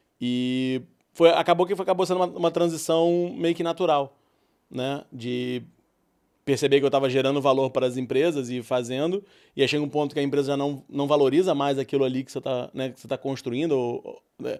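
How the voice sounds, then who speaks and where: A man at a fairly high pitch and a fairly quick pace, with fairly even intonation and big swings in loudness, on a very clean recording with a silent background. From Brazil, Rio de Janeiro. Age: 40s. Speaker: entrepreneur. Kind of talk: podcast interview.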